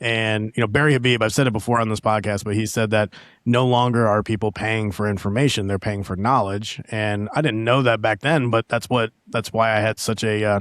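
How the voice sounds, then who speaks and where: In an unremarkable speaking voice, a man talks fairly quickly at medium pitch with hardly any pauses and fairly even intonation. The recording is very clean, silent in the background, and dry and close with no echo. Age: 30s. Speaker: mortgage podcast host. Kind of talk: casual interview chat. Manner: fast, filler-heavy.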